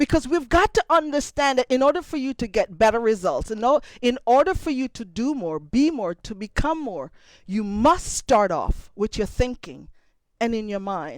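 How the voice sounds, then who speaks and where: A woman with a Jamaican accent talks at a high pitch and moderate pace with very wide pitch swings, in a dry, close recording with no echo. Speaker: motivational speaker. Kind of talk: motivational talk.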